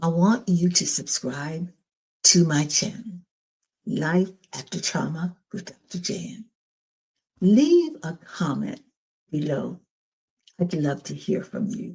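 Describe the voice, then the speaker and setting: Speaking at a very slow pace with long, frequent pauses, a woman uses a fairly low, somewhat breathy voice with a dark, mellow tone, ordinary pitch variation and big swings in loudness. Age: 80s+. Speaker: domestic abuse survivor and channel host. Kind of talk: personal testimony and encouragement.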